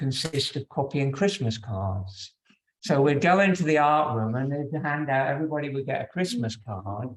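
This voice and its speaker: A man's somewhat breathy, fairly high voice moves at a moderate pace. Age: 60s. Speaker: yoga teacher. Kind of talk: personal talk to yoga class.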